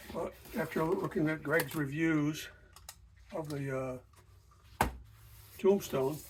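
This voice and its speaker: A somewhat breathy male voice. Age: 70s. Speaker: welding hobbyist reviewer. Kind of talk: unboxing and product review. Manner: casual, halting with fillers.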